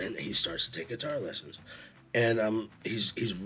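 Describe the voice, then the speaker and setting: A man speaks with an American accent at a moderate pace. Music plays in the background. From Los Angeles. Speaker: stage manager podcast co-host. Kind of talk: casual chat. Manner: halting, many fillers.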